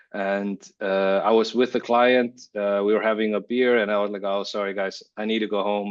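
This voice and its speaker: With an Icelandic accent, a man speaks at a fairly low pitch with fairly even intonation over a quiet background. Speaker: creative director. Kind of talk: interview. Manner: halting.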